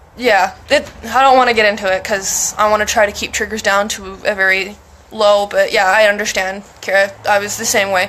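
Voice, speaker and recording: A woman talks in a monotone, flat intonation while noticeable background noise sits behind her. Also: medium pitch for a woman, moderate pace. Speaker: mental health streamer. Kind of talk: casual chat. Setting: live stream.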